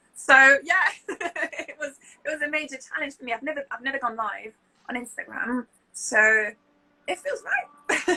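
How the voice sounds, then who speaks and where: With a British accent, a woman speaks at a moderate pace in a high pitch, her raised, projected voice bright, sharp and upbeat, with lively intonation, big swings in loudness and long, frequent pauses. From France, Lille. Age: 30s. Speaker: public speaker, interpreter, lecturer. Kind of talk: interview answer. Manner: smiling, upbeat.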